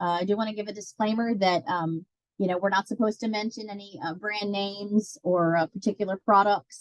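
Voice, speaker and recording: An unremarkable speaking voice from a woman, medium in pitch, with ordinary pitch variation and a fairly quick pace. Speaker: master gardener coordinator. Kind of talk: webinar presentation. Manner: many fillers.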